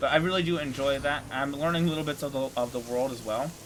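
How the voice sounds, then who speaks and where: A fairly high-pitched man at a very fast pace, with ordinary pitch variation and music in the background. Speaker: gaming video host. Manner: halting, repeats words.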